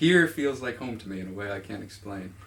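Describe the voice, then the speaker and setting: Somewhat breathy, a man with a North American accent talks at a fairly quick pace in a fairly low pitch, with audible room echo. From suburban US. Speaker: music writer being interviewed. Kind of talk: interview. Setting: filmed interview in a room.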